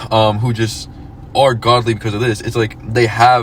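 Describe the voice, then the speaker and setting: A man's voice over noticeable background noise. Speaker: podcast host. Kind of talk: casual chat. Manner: halting, many fillers.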